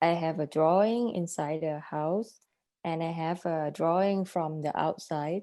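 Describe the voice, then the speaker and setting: Speaking in a Thai accent, a woman has a fairly low pitch and a dark, mellow tone. Her intonation stays fairly even. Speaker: artist. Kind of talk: interview. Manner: halting.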